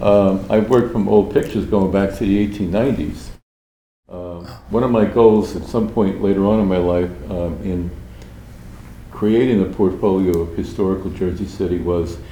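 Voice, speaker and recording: There is audible room echo as a man with a very deep, low pitch and a dark, mellow tone talks at a moderate pace with ordinary pitch variation. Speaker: artist. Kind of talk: interview conversation. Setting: public library.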